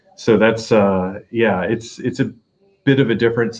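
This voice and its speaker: A man's voice sits at a fairly low pitch. His pace is moderate. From US South, North Carolina. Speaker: vlogger. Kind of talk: casual chat. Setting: retirement home. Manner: hesitant, many fillers.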